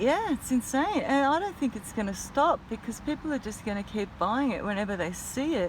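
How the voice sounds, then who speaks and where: Speaking fairly quickly with an Australian accent and hardly any pauses, a woman with a high voice swings very widely in pitch over noticeable background noise. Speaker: vlogger. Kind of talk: casual vlog rant. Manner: mumbles sometimes; animated.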